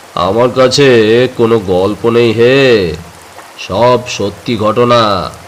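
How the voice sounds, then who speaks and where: A gruff, put-on character voice at a very slow pace, with fairly even intonation over clear background noise. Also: man, medium pitch for a man. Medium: read story. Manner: gruff, testy.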